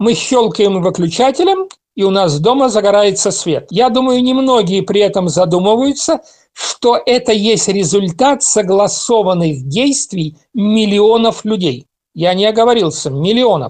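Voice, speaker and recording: Lively intonation runs through this man's high-pitched speech, delivered at a fairly slow pace with very even loudness. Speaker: political analyst. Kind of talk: talk.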